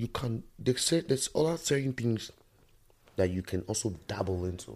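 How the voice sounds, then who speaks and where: Somewhat breathy and fairly low in pitch, a man speaks at a moderate pace with lively intonation on a very clean recording with a silent background. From Nigeria. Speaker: musician. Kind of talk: casual chat.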